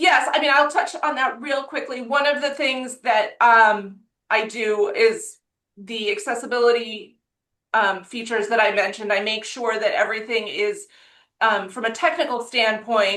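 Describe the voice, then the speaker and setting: The tone is bright and sharp. The background stays quiet. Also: woman, fairly high pitch for a woman, ordinary pitch variation, moderate pace. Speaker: school communications staff. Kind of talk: webinar presentation.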